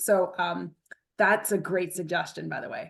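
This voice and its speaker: A woman's voice with vocal fry over a quiet background. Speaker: webinar presenter, scientist. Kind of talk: webinar presentation with Q&A. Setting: video call. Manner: fast.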